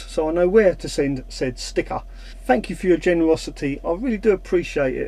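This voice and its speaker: At a fairly quick pace, a man talks with a Cockney accent. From London (Cockney). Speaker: van life YouTuber. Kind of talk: casual Q&A vlog.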